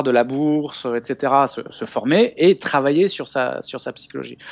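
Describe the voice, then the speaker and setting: A man's voice with lively intonation. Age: 40s. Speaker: investment author and business school lecturer. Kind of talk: interview. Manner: calm; halting, frequent repetitions.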